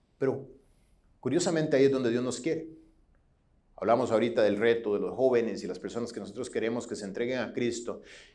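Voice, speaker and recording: This man talks at a very fast pace, yet with long, frequent pauses. His medium-pitched voice has a dark, mellow tone, ordinary pitch variation, and audible room echo. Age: 40s. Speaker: pastor. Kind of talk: sermon. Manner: halting.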